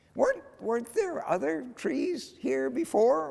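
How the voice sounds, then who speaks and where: Put-on character voice from a man, pitched extremely high and delivered at a fairly slow pace. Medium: read story.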